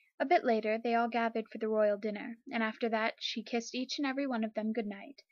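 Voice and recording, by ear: Someone reads the text out in a natural voice. The intonation holds fairly even throughout.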